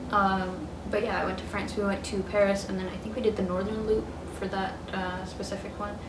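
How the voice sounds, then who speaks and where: A woman speaks at a medium pitch and a fairly quick pace, in a monotone with flat intonation. The recording carries audible room echo and noticeable background noise. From US South, Metro Atlanta, Georgia. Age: 20s. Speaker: vlogger. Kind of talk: casual vlog. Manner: hesitant, many fillers.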